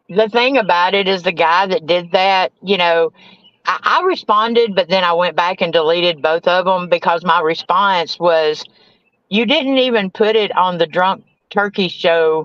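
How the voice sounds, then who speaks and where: With very even loudness and ordinary pitch variation, a woman speaks at a moderate pace and a fairly low pitch in a dry, close sound with no echo. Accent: Southern US. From US South. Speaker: recovering addict and grieving mother. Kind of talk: testimony.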